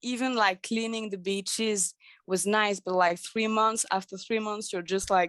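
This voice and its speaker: Someone with a French accent speaks at a moderate pace in a monotone, flat intonation. The sound is dry and close, with no echo. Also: woman. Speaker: life coach. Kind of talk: interview. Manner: halting.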